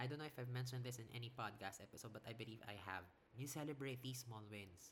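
Medium in pitch, the man's voice has a bright, sharp tone. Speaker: podcast host. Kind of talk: solo podcast talk.

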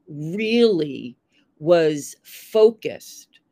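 A woman with a New York accent speaks at a medium pitch, her voice swinging very widely up and down, in a dry, close sound with no echo. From US, Long Island, New York. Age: 70s. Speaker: former model and fashion producer, writer. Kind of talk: interview, casual chat.

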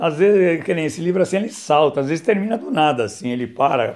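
Lively intonation carries this man's fairly quick delivery. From São Paulo, Brazil. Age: 60s. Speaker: author and philosophy teacher. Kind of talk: casual talk about his book. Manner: hesitant, many fillers.

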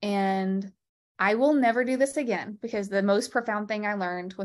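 Over a quiet background, a woman with an ordinary speaking voice and an American accent talks at a moderate pace, medium pitch and fairly even intonation. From Texas. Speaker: lymphedema therapist and podcast host. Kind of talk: interview.

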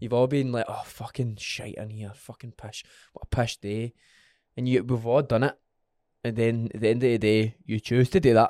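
In a Scottish accent, a man of medium pitch speaks with a dark, mellow tone and fairly even intonation, dry and close with no echo, on a very clean recording with a silent background. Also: moderate pace. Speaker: podcast host.

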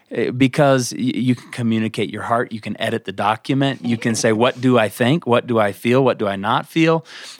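An unremarkable speaking voice at a fairly quick pace, with hardly any pauses and ordinary pitch variation. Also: man, medium pitch for a man, dry, close sound with no echo. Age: 30s. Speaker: pastor. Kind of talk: casual chat.

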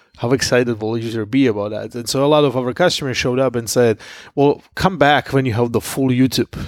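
In a very clean recording with a silent background, a man talks at a very fast pace with ordinary pitch variation. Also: medium pitch for a man. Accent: Slovak. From Slovakia. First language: Slovak. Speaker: tech entrepreneur. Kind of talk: interview.

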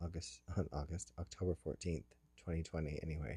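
A man with a very deep, low pitch, a dark, mellow tone, somewhat breathy, with fairly even intonation, on a very clean recording with a silent background. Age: 40s. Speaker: personal audio diarist. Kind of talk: personal audio diary. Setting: in a parked car. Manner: halting, many fillers.

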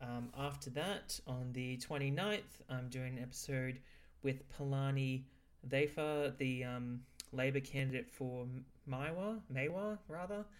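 In an Australian accent, a man with a medium pitch talks at a fairly slow pace with ordinary pitch variation. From Brisbane, Australia. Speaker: podcast host. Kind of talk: casual interview; episode intro. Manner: halting, many fillers.

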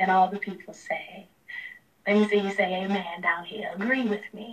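A woman with an unremarkable speaking voice, medium in pitch, at a moderate pace with fairly even intonation. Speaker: preacher. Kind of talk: sermon closing with benediction and call-and-response.

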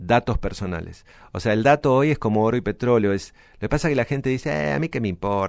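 Lively intonation marks this man's speech. He has a medium pitch and talks at a very fast pace. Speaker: lawyer specializing in data protection and IT law. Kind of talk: podcast interview.

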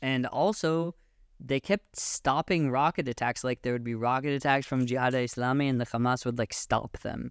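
A man with a Pacific Northwest accent speaks at a fairly quick pace, at medium pitch with ordinary pitch variation. The recording is very clean with a silent background and a dry, close sound with no echo. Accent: American, Pacific Northwest. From US Pacific Northwest, Seattle. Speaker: friend of the hosts, father living in Israel. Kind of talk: casual chat.

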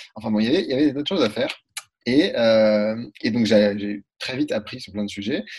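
This man talks at a very fast pace with a medium pitch. His pitch varies in an ordinary way. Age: 20s. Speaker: freelance entrepreneur. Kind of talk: interview.

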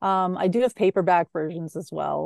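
In a Canadian accent, a woman talks at a fairly quick pace with a plain, everyday voice and ordinary pitch variation, the sound dry and close with no echo against a quiet background. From Canadian prairies, Saskatchewan. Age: 40s. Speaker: author and former crime reporter. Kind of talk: casual interview.

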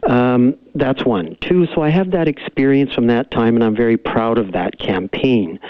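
A man's unremarkable speaking voice with a Canadian accent, medium pitch, lively intonation, moderate pace and very even loudness. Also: hardly any pauses. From Canada, Cariboo region of BC. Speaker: lawyer and political candidate. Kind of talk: phone interview. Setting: phone call.

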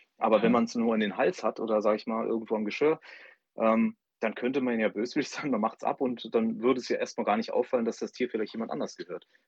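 A man talks at a very fast pace and a medium pitch. His intonation is fairly even. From Saarland, Saarbrücken. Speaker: startup advisor, co-host. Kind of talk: radio interview. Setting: phone call.

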